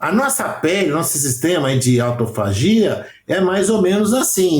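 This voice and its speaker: This man talks with lively intonation. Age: 60s. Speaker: aesthetics professional. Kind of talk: podcast interview.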